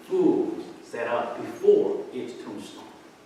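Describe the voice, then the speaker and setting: With a Korean accent, a man speaks amid noticeable background noise and audible room echo. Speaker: pastor. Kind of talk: sermon. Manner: halting.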